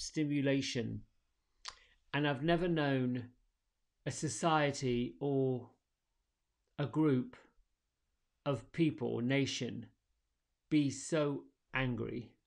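In a soothing, calm tone, a man with an American accent speaks at a very slow pace with long, frequent pauses and fairly even intonation. His pitch is fairly high, and the background is quiet. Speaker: meditation and yoga teacher. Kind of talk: guided meditation; casual solo morning message. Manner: slow, soothing, calm and gentle; relaxed, reflective. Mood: calm, soothing. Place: home room.

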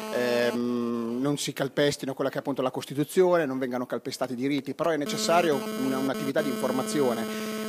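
Talking extremely quickly, a man is heard along with music playing clearly behind him. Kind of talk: interview answer. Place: street. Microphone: handheld.

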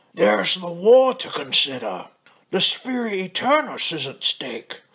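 A man talks at a fairly slow pace. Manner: formal, pompous, defiant.

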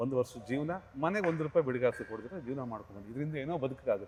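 This man has a plain, everyday voice at medium pitch with lively intonation. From Bangalore, Karnataka, India. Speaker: film actor and dialogue writer. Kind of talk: interview.

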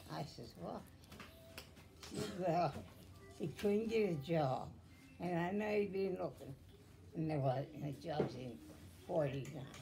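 A woman speaks with a very deep, low pitch and very wide pitch swings. Long, frequent pauses break her speech while music plays in the background. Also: fairly slow pace. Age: 80s+. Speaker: great-grandmother telling her story. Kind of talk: reminiscing interview answer. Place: home room. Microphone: phone near.

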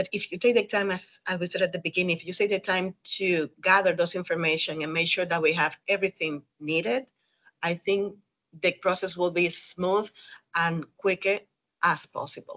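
A woman with a Spanish accent speaks at a moderate pace in a medium pitch, her bright, sharp tone carried by fairly even intonation in a dry, close recording with no echo. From Dominican Republic. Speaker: 3D rendering specialist. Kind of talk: webinar interview. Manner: hesitant with fillers.

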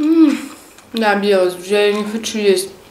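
Moderate pacing from a woman's voice, plus audible room echo and light background noise. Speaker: mukbang vlogger. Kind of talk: casual vlog chat. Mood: warm, festive. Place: home room.

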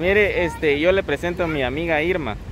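A man talks at a fairly slow pace over noticeable background noise, the sound dry with no echo. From Guatemala. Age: young. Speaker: YouTube vlogger; vlogger. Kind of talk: casual vlog chat. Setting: outdoors in a town park. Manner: hesitant, many fillers. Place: street. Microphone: phone near.

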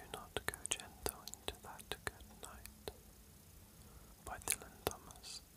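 Someone whispers very slowly with long, frequent pauses amid noticeable background noise. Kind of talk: poetry reading. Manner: whispered.

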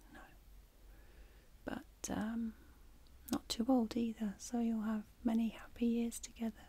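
Soft-spoken and gentle in tone, the voice has a dark, mellow quality and moves at a fairly slow pace. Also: woman. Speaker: ASMR creator playing a pet shop clerk. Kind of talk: soft-spoken role-play chat. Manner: soft-spoken, gentle ASMR voice. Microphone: studio mic.

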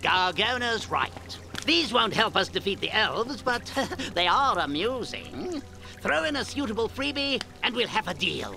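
Over clear background noise, a cartoonish character voice at a fairly high pitch talks at a moderate pace.

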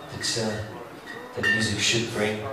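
A man at a moderate pace, with audible room echo and clear music in the background. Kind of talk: stage banter introducing a song. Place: bar. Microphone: camera far.

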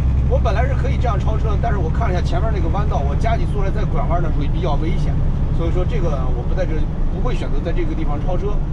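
Against loud background noise, a man speaks at a very fast pace. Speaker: truck driver vlogger. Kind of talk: tutorial. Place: car. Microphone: camera far.

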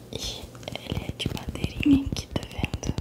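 A soft-spoken woman whispers at a moderate pace. Loud background noise runs behind her. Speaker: ASMR creator. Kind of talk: soft-spoken ASMR chat. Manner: soft ASMR whisper close to mic. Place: home room. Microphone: studio mic.

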